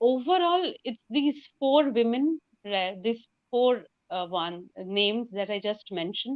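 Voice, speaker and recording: A woman with a Bengali accent, very slow pace and lively intonation. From India, West Bengal. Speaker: novelist. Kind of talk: interview.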